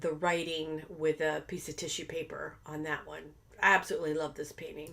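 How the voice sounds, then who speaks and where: A woman's fairly low voice comes through noticeable background noise. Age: 60s. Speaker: abstract painter teaching art. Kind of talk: tutorial with narration over painting footage. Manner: casual, hesitant with many fillers.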